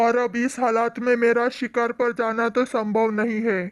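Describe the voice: A cartoonish character voice that sounds female sits at a fairly high pitch with monotone, flat intonation. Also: moderate pace, quiet background.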